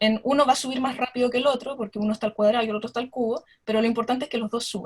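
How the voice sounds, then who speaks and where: Her high pitch held in fairly even intonation, a woman speaks at a very fast pace. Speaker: astronomer. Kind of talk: lecture.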